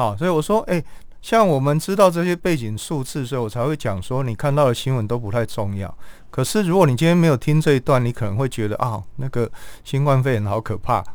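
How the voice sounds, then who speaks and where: At a very fast pace, a man talks with lively intonation at a medium pitch. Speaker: palliative care physician. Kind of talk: interview.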